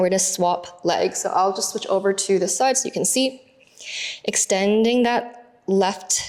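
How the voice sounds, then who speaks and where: A woman speaks at a medium pitch and a fairly slow pace. Noticeable background noise is audible. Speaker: pilates instructor. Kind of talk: guided workout instruction. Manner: calm, gentle. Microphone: mic very close to mouth.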